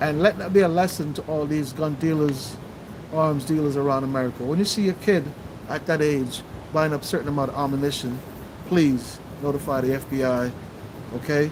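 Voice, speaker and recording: A man with a Jamaican accent, fairly high in pitch, at a fairly quick pace with fairly even intonation and long, frequent pauses, over noticeable background noise. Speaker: livestream host. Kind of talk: livestream commentary.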